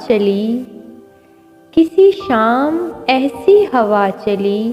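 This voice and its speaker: Music in the background under a woman's high voice with very wide pitch swings. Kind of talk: poetry reading.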